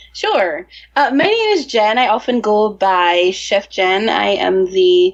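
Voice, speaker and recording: Noticeable background noise sits behind a woman speaking in a bubbly tone. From Jamaica. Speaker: chef and restaurant owner. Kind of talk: casual interview chat.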